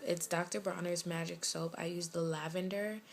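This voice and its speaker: The voice has a slight West Indian accent and fairly even intonation. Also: woman. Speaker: lifestyle vlogger. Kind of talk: casual vlog update. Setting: bedroom at home.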